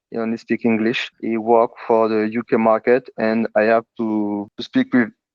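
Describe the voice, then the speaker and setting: A man with a French accent, monotone and flat in intonation, at a moderate pace. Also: medium pitch for a man. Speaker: telecom team manager. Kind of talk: interview. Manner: halting.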